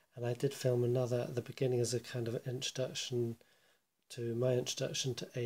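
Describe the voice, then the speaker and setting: The voice is quiet and moves at a moderate pace. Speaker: board game player. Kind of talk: casual video commentary. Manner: quiet, hushed; halting, many fillers.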